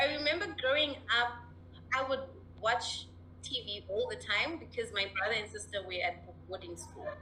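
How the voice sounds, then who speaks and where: The speech moves at a moderate pace, with audible echo from the room. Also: woman. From Zimbabwe. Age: 20s. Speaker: mental health advocate. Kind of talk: interview. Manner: animated.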